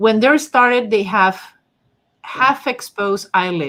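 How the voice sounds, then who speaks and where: A strong non-native accent with a bright, sharp tone, lively intonation and a fairly slow pace. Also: woman. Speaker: face reading analyst, channel host. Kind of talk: livestream discussion with co-host and chat. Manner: halting, many fillers.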